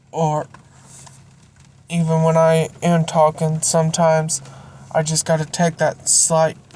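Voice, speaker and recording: Amid noticeable background noise, a woman with a very deep, low pitch speaks at a very slow pace in a monotone, flat intonation. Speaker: Bible reading channel owner. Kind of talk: reading aloud; casual outro. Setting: near a car warming up.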